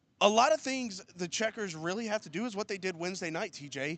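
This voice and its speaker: A man talks at a fairly quick pace in a high pitch with lively intonation. The sound is dry and close, with no echo. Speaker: PA announcer and co-host. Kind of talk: sports broadcast preview discussion.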